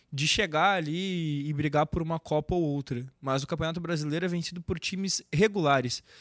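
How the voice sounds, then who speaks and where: A man with a plain, everyday voice speaks at a fairly high pitch with ordinary pitch variation, the sound dry and close with no echo in a very clean recording over a silent background. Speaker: football fan influencer. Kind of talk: casual football chat.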